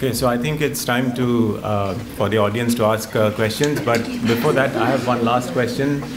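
Over noticeable background noise, a man talks at a moderate pace in a medium pitch, his loudness very even and his intonation fairly even. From India. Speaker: author and journalist, moderator; moderator. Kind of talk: onstage interview. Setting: stage with audience. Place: hall. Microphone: podium.

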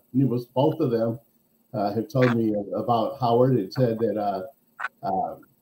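A man's somewhat breathy voice comes through over light background noise. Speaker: podcast interviewer. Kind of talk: casual podcast interview. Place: home room. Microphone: video call.

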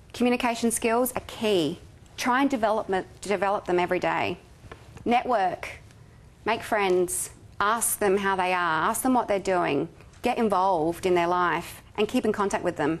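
A woman speaks with an Australian accent at a medium pitch. Her pitch varies in an ordinary way, and her loudness stays very even. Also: fairly slow pace. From South Australia. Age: 30s. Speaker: charity marketing manager; guest. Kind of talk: guest lecture. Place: hall. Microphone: podium.

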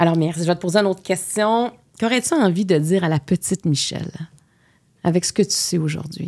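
A woman with a Quebec accent speaks at a fairly quick pace and fairly low pitch, with ordinary pitch variation. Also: quiet background. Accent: Québécois French. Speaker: podcast host. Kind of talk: interview. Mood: warm, gentle. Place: studio. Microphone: studio mic.

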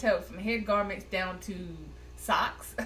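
A moderate pace from a woman talking. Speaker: app reviewer. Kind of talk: tutorial. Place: home room. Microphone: webcam.

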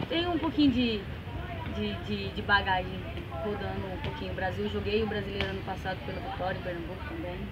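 Loud background noise fills the recording. Over it, a woman speaks at a fairly quick pace. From Lorena, São Paulo, Brazil. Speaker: professional women's football player. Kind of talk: interview answer. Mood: calm, friendly. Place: stadium. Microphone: camera far.

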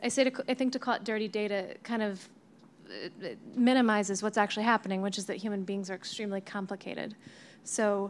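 Speaking at a very fast pace with long, frequent pauses, a woman keeps her intonation fairly even. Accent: American. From United States. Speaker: cloud customer engineer, data scientist; panelist. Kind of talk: panel discussion. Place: meeting room. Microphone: handheld.

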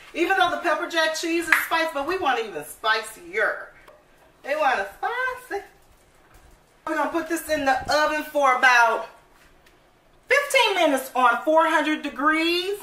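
A woman projects a raised voice with a bright, sharp tone. She keeps a moderate pace, and room echo is audible. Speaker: home cook vlogger. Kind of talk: casual cooking tutorial chat. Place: kitchen. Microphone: phone near.

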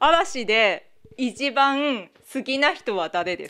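A woman's voice, high in pitch. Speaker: cable TV reporter. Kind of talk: interview questions. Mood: friendly, light. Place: home room.

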